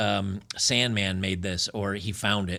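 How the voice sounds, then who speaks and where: The voice has a bright, sharp tone with vocal fry, moving at a very slow pace in a very clean recording with a silent background. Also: man. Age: 50s. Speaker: commentary video host. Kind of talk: casual commentary monologue.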